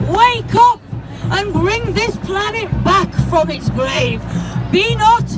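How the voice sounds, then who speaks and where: Over music in the background, a woman speaks at a very slow pace. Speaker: spoken word poet. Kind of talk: protest poem performed at a rally. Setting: outdoors at a protest march. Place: street. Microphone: handheld.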